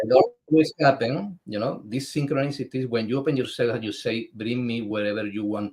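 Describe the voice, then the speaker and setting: A man with a Spanish accent talks at a moderate pace. His pitch is medium, with ordinary variation. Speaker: spiritual artist and pilgrim. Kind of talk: interview. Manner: halting.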